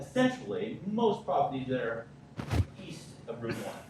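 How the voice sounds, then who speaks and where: A man talks at a moderate pace with very wide pitch swings. Audible room echo and noticeable background noise surround him. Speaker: town engineer. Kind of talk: public presentation at town council meeting. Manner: loud.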